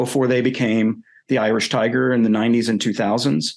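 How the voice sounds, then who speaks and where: With a Southern US accent, a man speaks with ordinary pitch variation. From US South, North Carolina. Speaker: philosopher and writer. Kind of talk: interview. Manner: hesitant, with fillers.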